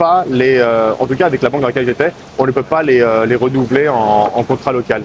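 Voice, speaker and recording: Pitched in the middle range with ordinary variation, this man's voice comes through noticeable background noise. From France, Paris suburbs. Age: 30s. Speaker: expat banker. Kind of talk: interview. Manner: hesitant, many fillers.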